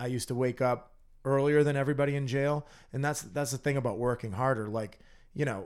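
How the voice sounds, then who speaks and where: A plain, everyday voice with an American accent moves at a fairly quick pace. The recording is very clean, with a silent background. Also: man. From Massachusetts, North Andover. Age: 30s. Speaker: recovering addict, business owner. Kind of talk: interview, personal testimony.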